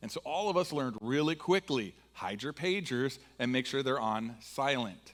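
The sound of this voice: A man with an American accent talks in a fairly bright tone with lively intonation.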